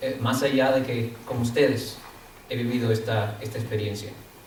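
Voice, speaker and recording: With noticeable background noise and audible room echo, a man talks at a fairly slow pace. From Dominican Republic. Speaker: guest speaker. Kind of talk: lecture. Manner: halting, many fillers; partly reading from notes.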